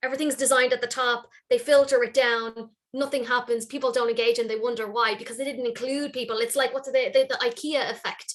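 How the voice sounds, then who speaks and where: With an Irish accent, a woman speaks at a very fast pace in a high pitch with monotone, flat intonation. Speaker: workplace wellness consultant. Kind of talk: panel discussion.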